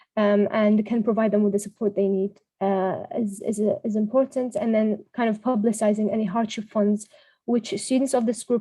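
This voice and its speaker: The voice has a dark, mellow tone, somewhat breathy, with monotone, flat intonation. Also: woman. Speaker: workshop presenter. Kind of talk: online workshop presentation. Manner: fast; hesitant, many fillers.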